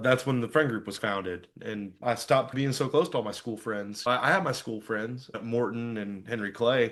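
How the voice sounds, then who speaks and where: Over a quiet background, a man of medium pitch talks at a moderate pace with hardly any pauses and ordinary pitch variation. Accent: American. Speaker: podcast guest, youth small-group leader. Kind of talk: casual chat, personal testimony. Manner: loud; animated, casual.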